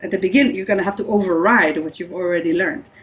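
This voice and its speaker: A woman speaks with an Israeli accent. Noticeable background noise sits under her voice. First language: Hebrew. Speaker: language scientist. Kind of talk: interview. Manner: hesitant with fillers.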